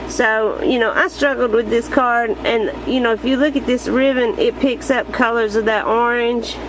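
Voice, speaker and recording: A woman with an American accent talks at a moderate pace in a high pitch with ordinary pitch variation and very even loudness, over noticeable background noise. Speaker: card-making crafter. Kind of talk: crafting tutorial / show-and-tell. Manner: casual, hesitant with fillers.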